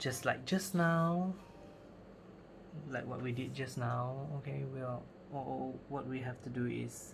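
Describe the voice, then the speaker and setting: At a very slow pace, a speaker with a Cantonese accent talks over noticeable background noise, leaving long, frequent pauses. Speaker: crafting youtuber. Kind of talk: tutorial. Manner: halting.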